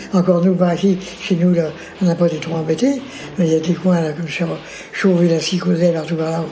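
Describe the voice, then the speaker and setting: Over noticeable background noise, a man with a high pitch speaks at a fairly quick pace with fairly even intonation and long, frequent pauses. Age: 80s+. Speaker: retired factory worker, war veteran. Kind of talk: oral history interview. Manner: casual, halting with many fillers.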